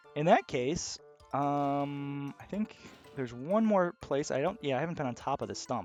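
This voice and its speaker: A man speaks softly. Music plays in the background. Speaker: gaming video host. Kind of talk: casual gameplay commentary. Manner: quiet, soft-spoken; calm, relaxed.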